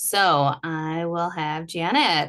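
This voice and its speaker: A woman's very deep, low voice. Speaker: energy healing practitioner. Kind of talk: online workshop presentation.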